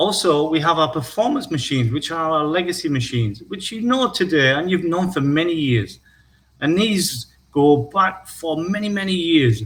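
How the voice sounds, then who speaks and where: A man talks at a moderate pace. His pitch is high. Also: lively intonation. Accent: northern English. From northern England. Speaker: equipment product specialist. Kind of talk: product presentation. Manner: halting.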